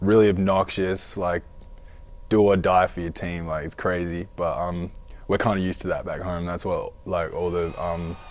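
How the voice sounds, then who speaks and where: Very deep and low, a man's voice comes with an Australian accent. His intonation is monotone and flat, at a moderate pace. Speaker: college basketball player. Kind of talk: interview.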